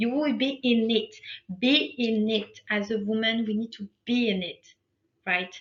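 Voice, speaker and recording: Somewhat breathy, a woman with a non-native accent speaks at a fairly high pitch with ordinary pitch variation. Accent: foreign. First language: not English. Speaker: life coach. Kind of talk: motivational workshop talk. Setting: online live webinar. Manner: animated.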